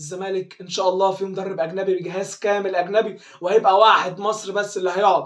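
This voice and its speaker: Against noticeable background noise, a man with a high, animated voice talks fairly quickly with hardly any pauses. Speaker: football fan commentator. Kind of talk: fan video commentary. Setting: at home.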